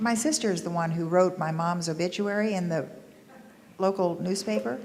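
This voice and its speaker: A woman with an American accent and a plain, everyday voice speaks at a moderate pace with a fairly low pitch and lively intonation. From US South. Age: 60s. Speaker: panelist sharing local history. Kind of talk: panel discussion recollections.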